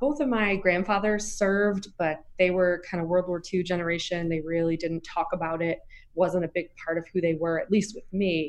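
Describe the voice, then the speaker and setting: In an unremarkable speaking voice with an American accent, someone talks at a moderate pace with ordinary pitch variation. There are hardly any pauses. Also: woman, fairly low pitch for a woman. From US Southeast. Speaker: nonprofit executive director. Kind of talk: interview.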